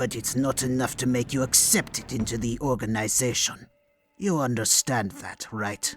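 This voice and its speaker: A man puts on a character voice at medium pitch. He keeps a moderate pace with ordinary pitch variation. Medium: audio drama. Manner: hushed, slow, menacing.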